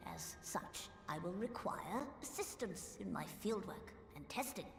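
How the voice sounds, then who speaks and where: Putting on a character voice, a woman speaks at a fairly slow pace with slight echo and loud background noise. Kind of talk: archaic formal speech. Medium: video game. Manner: formal, erudite.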